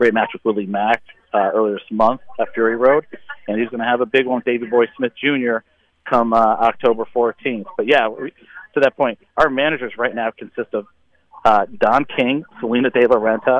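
The man's intonation remains fairly even, with his pitch in the medium range. He has a plain, everyday voice. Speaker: wrestling promoter. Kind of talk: casual interview. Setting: phone call. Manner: hurried, repetitive fillers.

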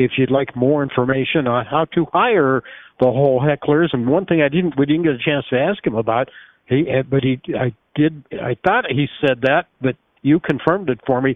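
An unremarkable speaking voice, moderately paced, its pitch shifting an ordinary amount. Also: man, fairly high pitch for a man. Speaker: radio host. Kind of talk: radio talk show hosting, interview. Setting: studio.

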